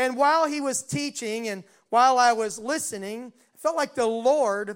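Over a very clean recording with a silent background, a man with an American accent speaks at an extremely high pitch with ordinary pitch variation. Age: 60s. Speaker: pastor. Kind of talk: sermon. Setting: church.

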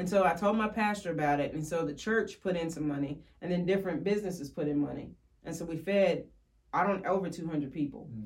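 Amid noticeable background noise and audible room echo, a woman with a fairly low pitch speaks very fast with ordinary pitch variation. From Kentucky, Woodford County. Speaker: ministry area representative. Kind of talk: testimony.

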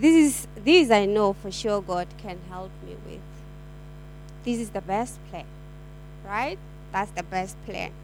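A woman speaking very slowly, with long, frequent pauses, big swings in loudness and noticeable background noise. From South Africa. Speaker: church member. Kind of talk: testimony.

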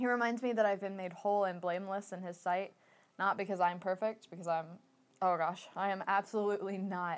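A woman's unremarkable speaking voice, medium in pitch, at a fairly quick pace with fairly even intonation. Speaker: church member sharing testimony. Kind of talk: testimony.

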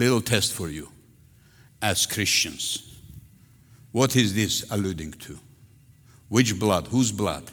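Very slowly and with long, frequent pauses, a man speaks at a fairly low pitch in a Russian accent, with ordinary pitch variation and big swings in loudness. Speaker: pastor. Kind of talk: sermon. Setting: church. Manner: animated.

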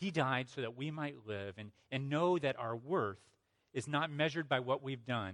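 Someone does plain reading aloud. The intonation is lively, and the surroundings are quiet.

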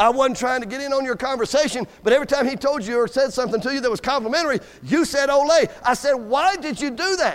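A man with an extremely high pitch and a Southern US accent, very fast with hardly any pauses, animated in tone, with ordinary pitch variation. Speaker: Baptist preacher. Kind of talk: sermon. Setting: church. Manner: animated, joking, rousing call-and-response with the congregation.

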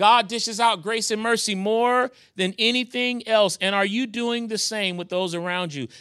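A man's raised, projected voice with an American accent, high-pitched with a bright, sharp tone and a warm, animated tone, at a moderate pace with ordinary pitch variation. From New York. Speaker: guest preacher; pastor. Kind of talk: sermon. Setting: church. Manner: warm, animated, pulpit-style call and response.

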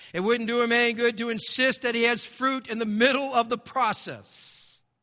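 A man's raised, projected voice, bright and sharp in tone, at a moderate pace, in a very clean recording with a silent background. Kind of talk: sermon. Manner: conversational and self-deprecating, with wry humor and storytelling; earnest and emphatic, repeating key phrases for effect.

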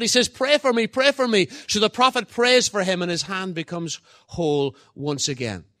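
This man speaks in an Irish accent with a bright, sharp tone. The sound is dry and close, with no echo. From Ireland. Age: 50s. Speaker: guest preacher. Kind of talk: sermon. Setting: church. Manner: halting, repeats words.

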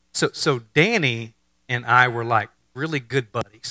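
With an American accent, a man speaks at a medium pitch in a bright, sharp tone, recorded with a dry, close sound and no echo. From Texas. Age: 50s. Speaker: pastor. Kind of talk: sermon. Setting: church. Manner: animated.

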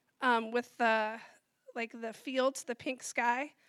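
A woman speaks in a raised, projected voice with a bright, sharp tone. The sound is dry and close with no echo, on a very clean recording with a silent background. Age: 40s. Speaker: church member sharing testimony. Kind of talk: testimony.

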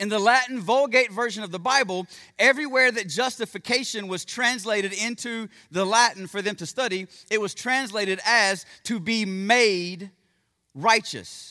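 A man speaks in a raised, projected voice with a bright, sharp tone, high pitch and ordinary pitch variation, on a very clean recording with a silent background. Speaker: pastor. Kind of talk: sermon. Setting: church. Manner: fast talker; informal, friendly.

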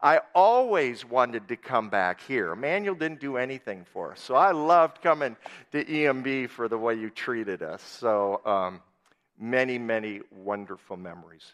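Against a quiet background, a man with an Upper Midwest accent speaks at medium pitch with lively intonation and big swings in loudness. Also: moderate pace. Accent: Upper Midwest American. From US Upper Midwest (southwest Minnesota). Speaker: missionary and guest preacher. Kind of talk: sermon. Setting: church.

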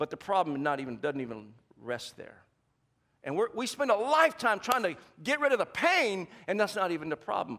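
In an American accent, the speaker uses a raised, projected voice with an animated tone and very wide pitch swings. The pace is fairly quick, broken by long, frequent pauses. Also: man, high pitch for a man. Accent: Southern US, comes out now and then. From US South. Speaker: pastor. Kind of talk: sermon. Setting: church with congregation.

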